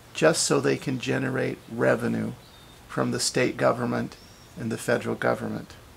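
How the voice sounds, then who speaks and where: With noticeable background noise present, a man's speech moves at a moderate pace. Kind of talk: interview questions and commentary. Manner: impassioned.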